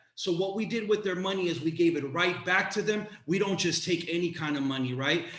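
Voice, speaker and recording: A man speaks at a fairly quick pace in a high pitch, with ordinary pitch variation, noticeable background noise and audible room echo. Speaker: community organizer and educator. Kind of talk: panel presentation. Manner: passionate.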